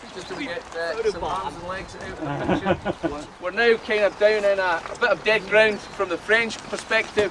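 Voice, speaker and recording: A man speaks at a moderate pace in a high pitch, with ordinary pitch variation and hardly any pauses. His loudness swings widely over noticeable background noise. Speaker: battlefield tour guide. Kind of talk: guided tour talk. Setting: outdoors on a battlefield. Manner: animated.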